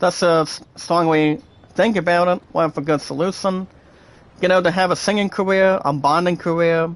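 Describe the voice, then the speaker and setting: With an American accent, a man speaks at a moderate pace in a high pitch, using fairly even intonation and very even loudness. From United States. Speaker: gaming streamer. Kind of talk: live stream chat.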